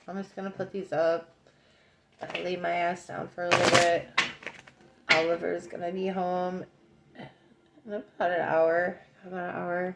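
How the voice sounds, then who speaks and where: A woman's mumbling, fairly low-pitched voice in a monotone, flat intonation at a moderate pace, broken by long, frequent pauses, with noticeable background noise. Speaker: psychic card reader. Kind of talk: oracle card reading monologue. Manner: casual, rambling with fillers.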